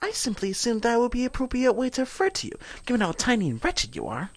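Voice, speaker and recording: This put-on character voice is soft-spoken and fairly high in pitch. It races along at a very fast pace. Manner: cutesy, disdainful.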